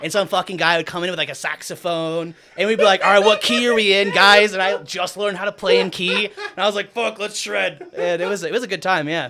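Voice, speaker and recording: A loud, animated man at a very fast pace, with ordinary pitch variation and noticeable background noise. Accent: American. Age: 30s. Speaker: DJ and producer. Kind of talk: casual chat. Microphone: far from the mic.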